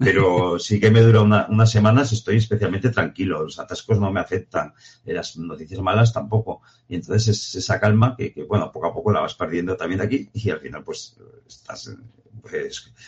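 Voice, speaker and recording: A man speaks at a moderate pace in a fairly low, somewhat breathy voice with ordinary pitch variation. His loudness swings widely from moment to moment. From Aragon, Spain (Jaca). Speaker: professional mountaineer. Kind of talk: interview.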